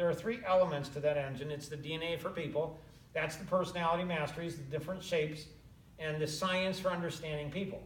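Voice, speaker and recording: Noticeable background noise and audible room echo surround speech delivered at a very fast pace. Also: man. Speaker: business coach. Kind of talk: casual chat.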